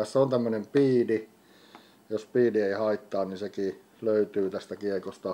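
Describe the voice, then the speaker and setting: A man with a dark, mellow tone and fairly low pitch talks at a fairly slow pace with fairly even intonation. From Finland. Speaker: disc golf YouTuber. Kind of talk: product unboxing video. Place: home room. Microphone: studio mic.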